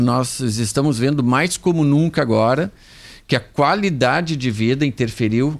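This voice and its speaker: At a fairly slow pace, a man with a normal speaking voice talks in a medium pitch with ordinary pitch variation, on a very clean recording with a silent background. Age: 50s. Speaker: medical doctor. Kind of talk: radio health interview.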